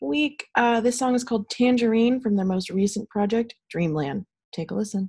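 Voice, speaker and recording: The voice is somewhat breathy and moves at a fairly quick pace. The background is quiet. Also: woman. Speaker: college radio host. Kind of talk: radio DJ patter, introducing songs. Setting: home recording. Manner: casual, upbeat, chatty.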